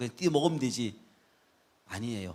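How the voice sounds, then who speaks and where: A man is speaking. His voice has vocal fry. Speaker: guest pastor. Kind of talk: sermon. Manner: fast.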